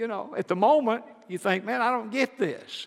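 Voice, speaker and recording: The speech moves at a moderate pace in a Southern US accent. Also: man. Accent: Southern US (Georgia). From US South, rural Georgia. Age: 70s. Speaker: Baptist pastor. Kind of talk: sermon. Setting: church.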